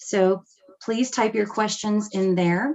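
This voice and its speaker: A woman with a plain, everyday voice speaks at medium pitch and a fairly slow pace. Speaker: meeting moderator. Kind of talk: virtual town hall moderation. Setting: video call.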